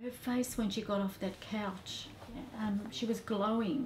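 Over light background noise, the speech moves at a fairly slow pace in a monotone, flat intonation. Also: woman. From Australia (Melbourne). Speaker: mother of patient. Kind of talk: testimony. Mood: warm, amazed, emotional. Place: office.

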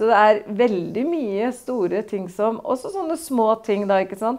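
With a dark, mellow tone, a woman speaks at a fairly slow pace. The background is quiet. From Norway, Østfold (Torsnes); Norway. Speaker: mayor. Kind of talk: political interview. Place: office.

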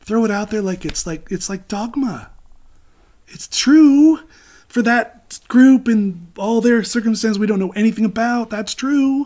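The background is quiet as a man talks at a moderate pace. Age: 50s. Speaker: spiritual teacher. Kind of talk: lecture. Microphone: webcam.

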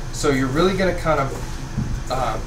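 A man at a moderate pace with fairly even intonation, against noticeable background noise. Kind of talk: tutorial. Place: kitchen.

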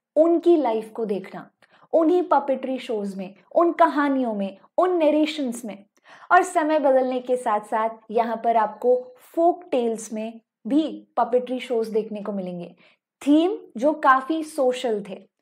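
Against a quiet background, a woman speaks at a very slow pace in a high pitch. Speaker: online educator. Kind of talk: lecture.

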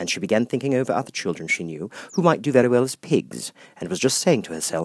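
The speech is fast, with big pitch swings. The tone is slightly mellow with a slightly husky edge. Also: man, medium pitch for a man.

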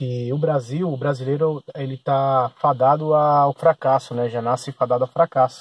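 Somewhat breathy, a man speaks with fairly even intonation in a dry sound with no echo. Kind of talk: casual vlog chat. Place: car. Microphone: phone near.

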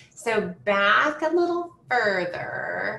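Light background noise and audible room echo around a woman's voice. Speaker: graduate student services manager; webinar host. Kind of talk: informational webinar. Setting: video call. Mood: friendly, upbeat. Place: home room. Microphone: video call.

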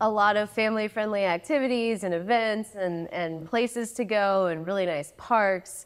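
A woman with an American accent talks at a moderate pace, her pitch fairly high and its variation ordinary. She has a plain, everyday voice. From US South, Johnson City, Tennessee; Tennessee. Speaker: online English teacher; podcast guest. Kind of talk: casual chat. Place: studio. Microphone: lapel.

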